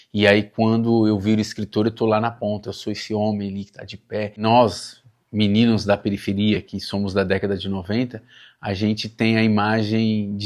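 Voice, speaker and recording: Over a very clean recording with a silent background, a man with a fairly low pitch speaks at a moderate pace in a flat monotone. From Suzano, São Paulo, Brazil. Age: 40s. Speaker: writer. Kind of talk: documentary interview.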